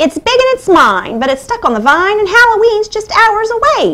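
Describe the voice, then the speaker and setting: A woman puts on a character voice at an extremely high pitch, speaking at a moderate pace. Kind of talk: bedtime story. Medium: read story. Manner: irritated, possessive, impatient.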